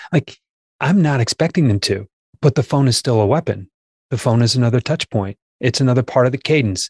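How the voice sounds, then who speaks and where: A man speaks in a somewhat breathy voice with ordinary pitch variation and very even loudness. The very clean recording is dry and close, with no echo and a silent background. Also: medium pitch for a man. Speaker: sales trainer. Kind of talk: casual chat.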